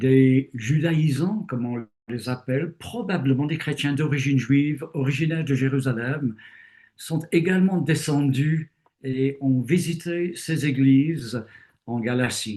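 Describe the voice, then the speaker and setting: Speaking at a very slow pace, a man has a fairly high pitch, a dark, mellow tone, some breathiness and ordinary pitch variation. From Britain. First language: English (speaking French). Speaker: retired theologian and bible teacher. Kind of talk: interview. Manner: hesitant with fillers.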